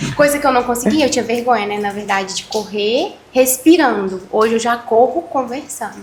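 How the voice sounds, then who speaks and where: The speaker talks at a moderate pace with hardly any pauses. Pitch variation is ordinary, and there is noticeable background noise. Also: woman, high pitch for a woman. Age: 20s. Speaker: amateur runner and entrepreneur. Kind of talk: casual chat.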